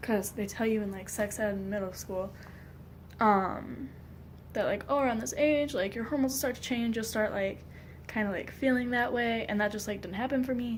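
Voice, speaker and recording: A somewhat breathy woman's voice with an American accent, fairly high in pitch with ordinary variation, at a moderate pace amid audible room echo. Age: 20s. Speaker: vlogger. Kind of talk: personal vlog. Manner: hesitant, many fillers.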